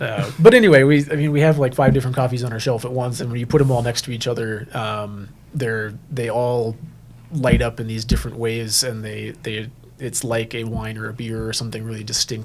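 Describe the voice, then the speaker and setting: Speaking at a fairly quick pace, a man with medium pitch sounds somewhat breathy, keeping fairly even intonation while his loudness swings widely. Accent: American. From Minneapolis, US Midwest. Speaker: coffee roaster and shop owner. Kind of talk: interview. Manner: halting, many fillers.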